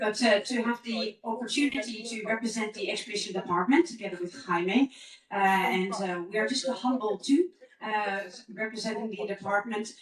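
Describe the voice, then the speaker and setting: A woman talks at a moderate pace in a fairly high pitch. Noticeable background noise can be heard. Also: ordinary pitch variation. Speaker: expedition leader giving a conference talk. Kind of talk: conference presentation. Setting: conference stage with audience.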